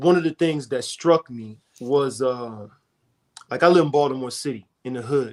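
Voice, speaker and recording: An ordinary speaking voice from a man with an American accent, medium pitch, ordinary pitch variation, moderate pace and big swings in loudness. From Milwaukee, Wisconsin, US Midwest. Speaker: panel guest in discussion. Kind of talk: casual discussion.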